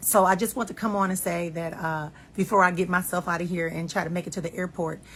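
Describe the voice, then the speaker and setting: A somewhat breathy woman's voice at a fairly low pitch. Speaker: life and marriage coach. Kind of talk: casual monologue. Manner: fast.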